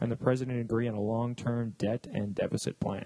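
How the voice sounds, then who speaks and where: Somewhat breathy and dark, mellow in tone, a man with a Canadian accent talks at a fairly quick pace in a dry, close recording with no echo. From Canada. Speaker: podcast host. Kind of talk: reading news aloud. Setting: studio.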